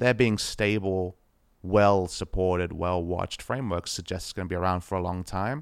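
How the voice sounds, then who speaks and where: With an Australian accent, a man talks at a moderate pace in a very deep, low voice, taking long and frequent pauses over a silent background on a very clean recording. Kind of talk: casual chat. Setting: home apartment. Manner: low-key off air, more energetic when casting.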